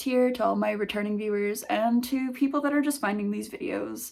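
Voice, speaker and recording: At a moderate pace, a woman speaks with a fairly high pitch and lively intonation. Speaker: indie game developer vlogger. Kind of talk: casual vlog. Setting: basement home office. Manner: pitch rises when excited.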